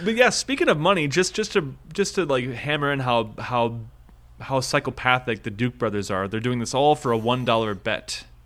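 At a moderate pace, a man with a Midwestern US accent and medium pitch speaks with lively intonation. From US Midwest, Minnesota. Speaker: podcast host. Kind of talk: casual chat.

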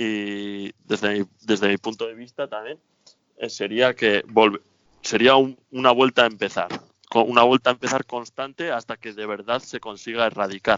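A man speaks in a plain, everyday voice at medium pitch and a moderate pace. His intonation is fairly even, but his loudness swings widely. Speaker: temporary resident in Australia. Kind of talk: radio interview.

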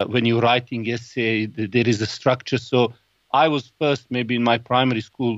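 A man at a moderate pace, with monotone, flat intonation. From Bosnia, Sarajevo. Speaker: Islamic finance expert and podcaster. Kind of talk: interview.

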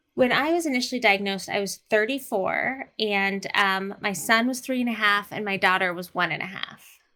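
An ordinary speaking voice, a woman at medium pitch talks at a moderate pace with ordinary pitch variation and hardly any pauses. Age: 40s. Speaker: artist and college professor. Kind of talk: personal testimony in interview.

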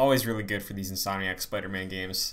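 A man's voice with audible room echo. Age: 20s. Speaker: podcast host. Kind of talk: casual chat.

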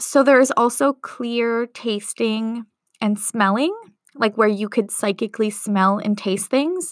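This woman has a normal speaking voice, fairly high in pitch, with ordinary pitch variation and a fairly slow pace. The sound is dry and close, with no echo. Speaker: spiritual mentor and psychic medium. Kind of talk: solo podcast monologue with channeling.

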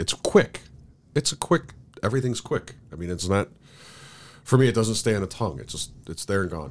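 His fairly low voice carries vocal fry, very wide pitch swings and big swings in loudness. The man moves at a fairly quick pace, broken by long, frequent pauses. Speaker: podcast co-host. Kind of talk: casual chat. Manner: animated, casual.

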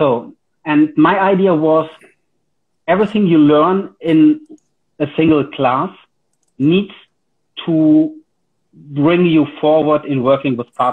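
Spoken with a German accent at a very slow pace, the words come with long, frequent pauses. Pitch variation is ordinary. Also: man, fairly high pitch for a man. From Germany. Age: 40s. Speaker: karate instructor. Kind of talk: casual interview. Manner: hesitant, many fillers.

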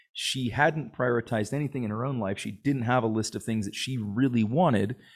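Recorded very cleanly with a silent background, a man with a medium pitch and ordinary pitch variation talks at a fairly quick pace in an ordinary speaking voice. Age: 40s. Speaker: startup executive and entrepreneur. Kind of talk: casual interview chat.

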